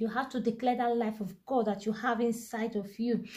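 Against a quiet background, a woman with a dark, mellow tone talks at a moderate pace in a monotone, flat intonation. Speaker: devotional reader. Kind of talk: sermon-like reading and commentary. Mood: fervent, earnest. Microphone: phone near.

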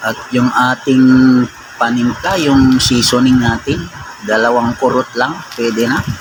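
A man talks at a fairly slow pace with long, frequent pauses, his pitch medium and his intonation fairly even. Noticeable background noise runs under his voice. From Ilocos region, Philippines (Ilocano). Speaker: food vlogger. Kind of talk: cooking tutorial. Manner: casual, conversational.

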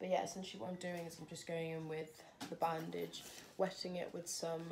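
A woman with a fairly low pitch talks at a moderate pace while background noise remains noticeable. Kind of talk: casual tutorial vlog. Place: home room. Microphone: phone near.

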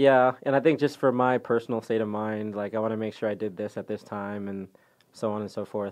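A man with an American accent and a normal speaking voice talks fairly quickly at a fairly low pitch, his intonation fairly even against a quiet background. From Texas, Dallas area. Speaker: professional soccer player. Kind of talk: interview.

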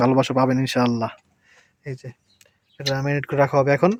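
This is a plain, everyday voice. The intonation stays fairly even. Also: man. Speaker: family vlogger. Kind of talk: casual vlog narration.

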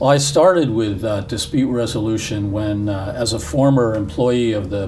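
The man has an unremarkable speaking voice, fairly low in pitch, with ordinary pitch variation. He moves at a moderate pace over light background noise. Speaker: interviewee. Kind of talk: interview answer. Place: studio.

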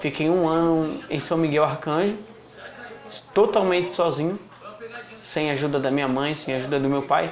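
A man keeps a moderate pace and fairly even intonation against light background noise. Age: 20s. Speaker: recovering drug addict. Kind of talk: testimony. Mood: serious, reflective. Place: home room. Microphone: lapel.

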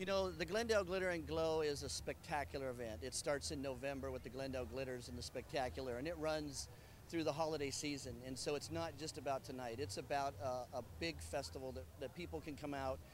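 Over light background noise, a man talks very fast with very wide pitch swings, the sound dry with no echo. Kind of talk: interview answer. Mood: proud, enthusiastic. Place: street. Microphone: handheld.

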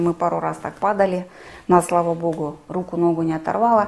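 Speaking fairly quickly, a woman at a medium pitch delivers her words in a monotone, flat way. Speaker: travel agency owner, war refugee. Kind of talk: testimony.

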